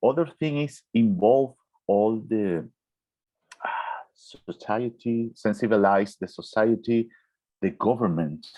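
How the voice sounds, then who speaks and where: The man speaks in a Spanish accent at a fairly slow pace. His pitch sits in the medium range. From Venezuela. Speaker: orthopedic surgeon. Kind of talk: Q&A answer in online webinar. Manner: halting, with fillers and restarts.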